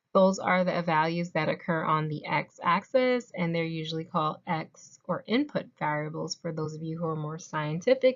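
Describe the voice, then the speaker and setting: A woman with an ordinary speaking voice talks at a moderate pace and fairly low pitch, with hardly any pauses. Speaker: math tutor. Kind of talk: tutorial. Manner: casual, conversational.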